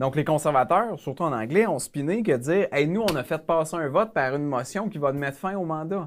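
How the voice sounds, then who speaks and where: A man talks at a fairly quick pace with hardly any pauses and lively intonation. His pitch is fairly high, with light background noise. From Quebec. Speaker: member of parliament; guest. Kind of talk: casual interview. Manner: halting. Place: studio. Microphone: lapel.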